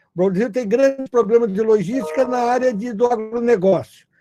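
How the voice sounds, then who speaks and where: A man talks at a moderate pace in a high-pitched voice with a dark, mellow tone and ordinary pitch variation. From Brazil, not the Northeast. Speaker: logistics business founder. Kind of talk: webinar panel talk.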